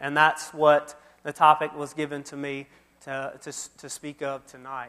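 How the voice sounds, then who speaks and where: This is a man's voice. He speaks with an Alabama accent. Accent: Southern US (Alabama). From US South, Mobile, Alabama. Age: 30s. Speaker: youth minister. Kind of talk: sermon.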